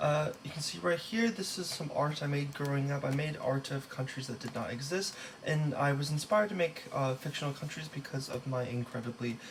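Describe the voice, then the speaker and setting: The speech runs at a fairly quick pace with hardly any pauses and ordinary pitch variation. Noticeable background noise can be heard. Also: man, fairly high pitch for a man. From Los Angeles, California, with time in Taiwan. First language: Taiwanese. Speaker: student. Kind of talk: class presentation. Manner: halting, many fillers.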